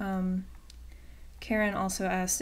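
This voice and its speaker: In an American accent, a woman speaks at a medium pitch and a fairly slow pace, with audible room echo around her voice. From Virginia, US, small town. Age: 20s. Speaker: YouTuber, student. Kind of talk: casual Q&A vlog. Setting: webcam recording at home. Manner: hesitant, many fillers.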